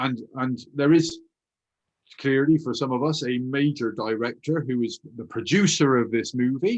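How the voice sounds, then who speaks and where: With a Bristolian accent, a man speaks at medium pitch and a moderate pace, his pitch varying in an ordinary way. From Bristol, England. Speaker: hypnotherapist and author. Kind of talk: interview conversation.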